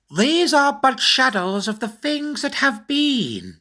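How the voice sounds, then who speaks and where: On a very clean recording with a silent background, a female-sounding put-on character voice speaks at a fairly slow pace and a high pitch. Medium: read story. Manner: calm, measured.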